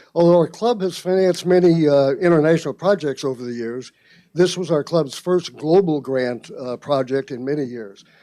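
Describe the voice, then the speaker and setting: Against a quiet background, a man speaks with a dark, mellow tone at a fairly high pitch. His pace is moderate and his pitch varies in an ordinary way. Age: 80s+. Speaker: rotary club member reporting on a project. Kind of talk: club meeting report.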